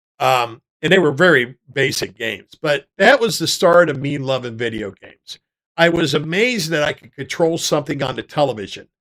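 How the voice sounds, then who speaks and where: This man talks at a fairly quick pace with lively intonation. His pitch sits fairly high. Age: 60s. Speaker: gaming streamer. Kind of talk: casual chat. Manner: halting.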